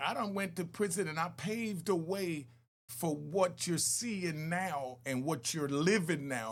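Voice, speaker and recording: A man's fairly high-pitched voice with vocal fry. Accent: American. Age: 60s. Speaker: former club owner and ex-prisoner. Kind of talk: video reaction commentary.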